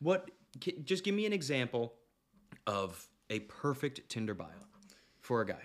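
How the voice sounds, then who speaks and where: A man's medium-pitched voice at a moderate pace, with very wide pitch swings and long, frequent pauses. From Canada. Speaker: podcast host. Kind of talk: casual chat.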